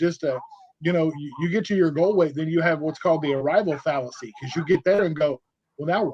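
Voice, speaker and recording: Talking at a fairly quick pace, a man uses an ordinary speaking voice with a fairly high pitch and ordinary pitch variation. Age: 40s. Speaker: bariatric community advocate. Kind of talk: casual chat. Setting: podcast.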